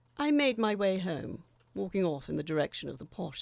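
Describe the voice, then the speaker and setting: Speaking at a moderate pace, a woman shows vocal fry in a dry, close sound with no echo. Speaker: audio drama narrator. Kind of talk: horror story reading.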